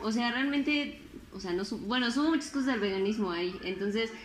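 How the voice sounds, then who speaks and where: A woman with a Mexican accent speaks with lively intonation, and audible room echo surrounds her voice. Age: 20s. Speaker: podcaster and designer. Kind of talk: casual chat. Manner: animated.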